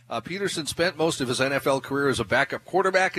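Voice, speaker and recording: A plain, everyday voice with an American accent, lively intonation, and a fairly quick pace. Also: man. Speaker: radio news and sports reader. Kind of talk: news reading. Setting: live remote broadcast from a store.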